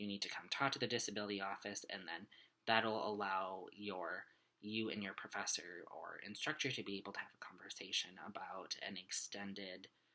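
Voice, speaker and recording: A man's bright, sharp tone at a moderate pace. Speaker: student. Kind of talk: video journal. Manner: halting.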